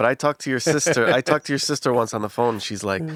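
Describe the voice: A man at a fast pace with an American accent, medium pitch, ordinary pitch variation and a fairly bright tone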